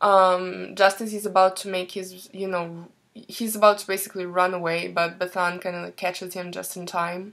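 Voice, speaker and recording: In a very clean recording with a silent background, a woman with a non-native accent speaks at a moderate pace and medium pitch, with monotone, flat intonation and hardly any pauses. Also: big swings in loudness. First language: not English. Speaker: book reviewer. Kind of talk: casual book review. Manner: hesitant, many fillers.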